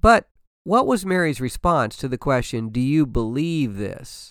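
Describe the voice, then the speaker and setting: In an ordinary speaking voice, a man with a fairly high pitch talks at a moderate pace on a very clean recording with a silent background. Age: 60s. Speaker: pastor and podcast host. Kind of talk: devotional podcast talk.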